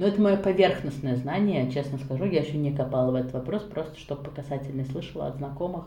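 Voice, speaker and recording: Somewhat breathy, with a dark, mellow tone and a very deep, low pitch, a woman speaks at a fairly quick pace with ordinary pitch variation amid audible room echo. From Russia, Nizhny Novgorod. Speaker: interview guest, mother and book blogger. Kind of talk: casual interview. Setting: call.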